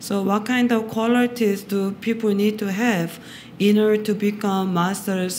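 The woman's voice sits at a medium pitch and moves at a very slow pace. Noticeable background noise runs underneath. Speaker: interpreter. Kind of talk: consecutive interpreting. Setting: meditation center with audience.

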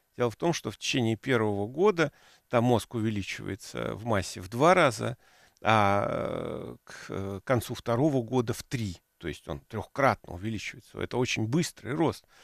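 Against a quiet background, a man talks at a moderate pace with lively intonation in a dry sound with no echo. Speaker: professor hosting a radio program. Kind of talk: lecture. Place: studio. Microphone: headset.

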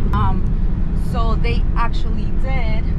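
A woman's voice comes through dry with no echo, over loud background noise. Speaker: vlogger. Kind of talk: casual vlog chat. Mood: frustrated, venting. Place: car. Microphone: phone near.

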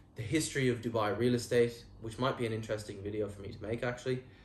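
Somewhat breathy and with an Irish accent, the voice goes at a very fast pace amid audible room echo. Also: man. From Ireland. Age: 20s. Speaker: real estate agent. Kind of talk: vlog monologue. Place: home room. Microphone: lapel.

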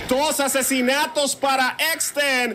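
Over noticeable background noise, the voice is raised and projected, with an energetic tone. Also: man. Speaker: esports play-by-play caster. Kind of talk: live esports play-by-play commentary. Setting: streamed esports broadcast. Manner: rhythmic and energetic, hyping the crowd.

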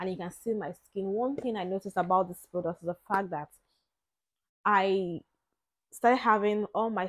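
A woman speaks in a normal speaking voice at medium pitch, with fairly even intonation and a moderate pace. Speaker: lifestyle vlogger. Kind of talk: product review. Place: home room. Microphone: lapel.

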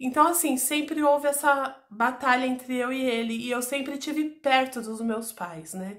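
A woman speaks at a fairly slow pace in a high voice with hardly any pauses, her loudness swinging widely against a quiet background. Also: ordinary pitch variation. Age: 40s. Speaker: YouTuber. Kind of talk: personal testimony. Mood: serious, emotional recounting of abuse. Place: home room. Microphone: phone near.

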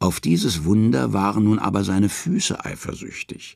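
With lively intonation, this man moves along at a moderate pace. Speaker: audiobook narrator. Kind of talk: dramatic narration of Norse myths, read aloud as an audiobook. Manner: measured storytelling pace, hushed and ominous, with a mythic tone and emphatic pauses.

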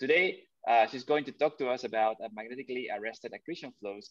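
A man talks at a very fast pace in a medium pitch with ordinary pitch variation over a quiet background. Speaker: seminar moderator. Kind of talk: formal introduction. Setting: video call. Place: home room. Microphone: webcam.

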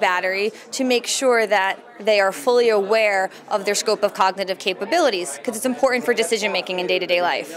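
A woman speaks at a fairly quick pace with ordinary pitch variation. Background noise is noticeable. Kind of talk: interview answer. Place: hall. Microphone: handheld.

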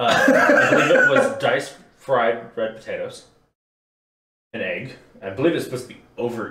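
A man talks at a moderate pace. There is audible room echo and light background noise. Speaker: beer reviewer. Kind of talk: casual group chat review. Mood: relaxed, joking. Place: home room. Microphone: camera far.

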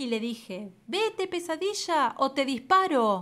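Very wide pitch swings in a woman's high voice at a fairly slow pace, on a very clean recording with a silent background. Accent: Argentine. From Argentina. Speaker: storyteller. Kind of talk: children's story reading.

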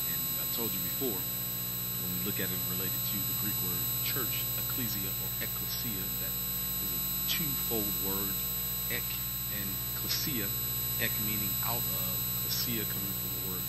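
Long, frequent pauses from a man over loud background noise. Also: moderate pace. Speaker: minister teaching Bible study. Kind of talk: sermon. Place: church. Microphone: handheld.

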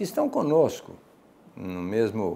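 The man's voice has a dark, mellow tone. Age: 70s. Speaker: doctor and spiritist lecturer; religious program co-host. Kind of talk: religious study discussion. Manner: hesitant, many filler sounds. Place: studio. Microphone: lapel.

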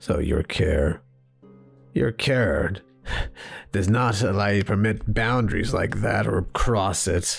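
A man performs a cartoonish character voice with a fairly low pitch. He goes at a fairly slow pace with long, frequent pauses, and faint music plays in the background. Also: ordinary pitch variation. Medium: puppet show. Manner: curt, sarcastic, dismissive.

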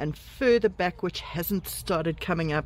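A woman's fairly low voice, with a dry sound and no echo. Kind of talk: casual vlog chat. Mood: cheerful, relaxed. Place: garden. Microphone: phone near.

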